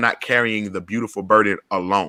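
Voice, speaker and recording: In an Atlanta accent, a man talks in an animated tone that is bright and sharp. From US South, Atlanta. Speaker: podcast host and community organizer. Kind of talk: panel discussion. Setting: video call.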